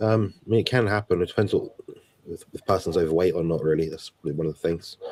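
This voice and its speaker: Someone speaks quietly at a very fast pace with ordinary pitch variation. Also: man, very deep, low pitch for a man. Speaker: health guest. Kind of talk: live Q&A.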